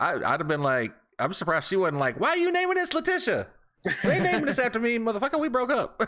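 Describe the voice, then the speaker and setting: A man speaks in a raised, projected voice at an extremely high pitch and very fast pace, with very wide pitch swings. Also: very even loudness. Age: 40s. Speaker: podcast co-host. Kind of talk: casual chat.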